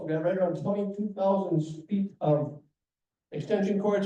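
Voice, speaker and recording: Speaking at a fairly quick pace, a man uses a high pitch with ordinary pitch variation. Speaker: guest speaker from a holiday lights charity. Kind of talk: club presentation with Q&A. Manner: fast.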